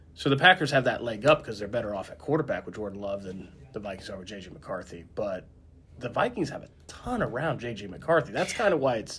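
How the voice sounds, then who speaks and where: Speaking very fast with an Indiana accent, a man at medium pitch makes very wide pitch swings and big swings in loudness. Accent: rural Indiana, sounds Southern to others. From northern Indiana. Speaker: sports journalist, podcast co-host. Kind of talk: casual chat.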